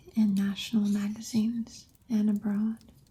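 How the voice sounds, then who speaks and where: Soft-spoken and somewhat breathy, a woman with a fairly high pitch speaks in a flat monotone with a dark, mellow tone. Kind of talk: ASMR soft-spoken chat.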